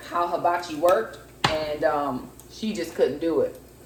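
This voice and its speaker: A woman speaks over noticeable background noise. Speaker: vlogger and preacher. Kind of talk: casual talk to camera.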